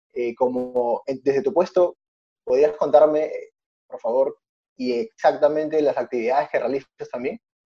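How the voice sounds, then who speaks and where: Recorded dry and close with no echo, the man talks fairly slowly. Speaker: podcast host. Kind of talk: interview.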